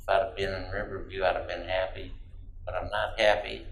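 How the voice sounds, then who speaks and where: A man with an American accent speaks at a fairly quick pace, with audible room echo and noticeable background noise. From Michigan, Detroit area. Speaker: navy veteran. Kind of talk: oral history interview.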